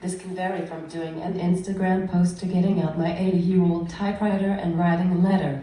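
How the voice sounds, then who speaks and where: Over noticeable background noise, a woman speaks in a fairly low, monotone voice with flat intonation. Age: 20s. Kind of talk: prepared speech.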